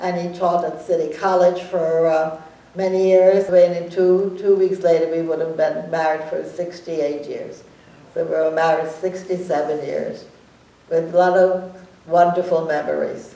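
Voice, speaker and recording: Over noticeable background noise and audible room echo, a woman speaks at a moderate pace with fairly low pitch and monotone, flat intonation. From Germany. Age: 90s. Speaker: Holocaust survivor. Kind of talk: testimony. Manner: halting.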